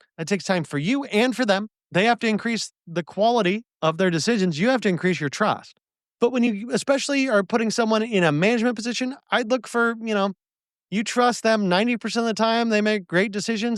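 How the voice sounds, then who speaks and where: A man at a high pitch with ordinary pitch variation and a fairly quick pace, in a dry, close sound with no echo and a quiet background. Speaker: podcast host, bar business advisor. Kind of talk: solo podcast monologue. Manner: fast.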